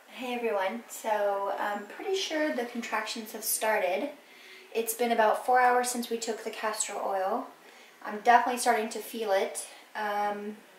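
A woman talks at a moderate pace with fairly even intonation, audible room echo, and light background noise. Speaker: pregnant vlogger. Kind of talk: casual vlog chat. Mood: cheerful, hopeful. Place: home room. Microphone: phone near.

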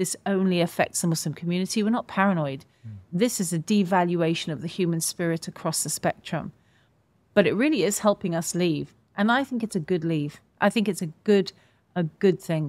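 A woman's fairly low voice with ordinary pitch variation, at a fairly quick pace, in a dry sound with no echo. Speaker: interview guest. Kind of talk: interview answer. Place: studio. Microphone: studio mic.

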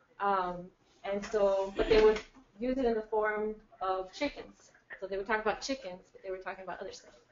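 A woman with an American accent talks at a fairly quick pace with fairly even intonation and big swings in loudness. Audible room echo and light background noise are present. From California. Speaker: musician; speaker. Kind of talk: introduction to a performance. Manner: halting. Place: meeting room. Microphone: camera far.

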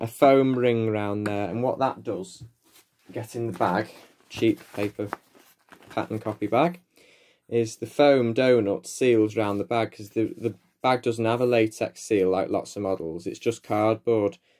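Light background noise sits under a man speaking at moderate pace and medium pitch with a northern English accent. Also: ordinary pitch variation. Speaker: vacuum repair hobbyist. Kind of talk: tutorial. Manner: casual, chatty. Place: home room. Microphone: phone near.

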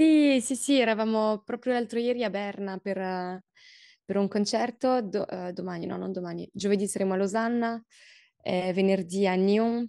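A medium-pitched woman's voice in a French accent, dark and mellow in tone, at a moderate pace with ordinary pitch variation, against a quiet background. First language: French (speaking Italian). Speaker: singer-songwriter; interviewee. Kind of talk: interview. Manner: halting, many fillers and repetitions. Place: office. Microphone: video call.

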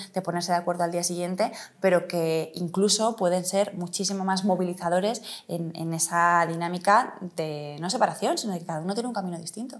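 Her fairly low voice moves at a fairly quick pace, and this woman keeps her intonation fairly even. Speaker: politician, city councillor and mayoral candidate; politician, city councillor, candidate. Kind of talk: interview. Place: office. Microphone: lapel.

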